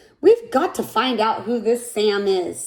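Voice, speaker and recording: The speaker puts on a character voice. The pace is moderate. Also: woman, fairly high pitch for a woman. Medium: read story. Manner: warm, friendly.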